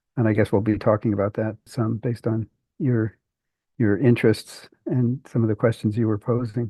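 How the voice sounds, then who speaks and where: A man's medium-pitched, somewhat breathy voice in monotone, flat intonation at a moderate pace. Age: 70s. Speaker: linguistics professor. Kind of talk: casual interview.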